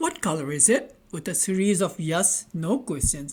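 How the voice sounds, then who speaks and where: An animated tone, somewhat breathy, with a non-native accent. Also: woman. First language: not English. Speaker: online tech tutor. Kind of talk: tutorial. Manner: halting, with repetitions and fillers.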